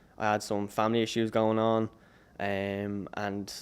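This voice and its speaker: A man speaks in an Irish accent at a fairly low pitch, with monotone, flat intonation. The recording is very clean, with a silent background. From Ireland. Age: 20s. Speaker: videographer. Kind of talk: podcast interview.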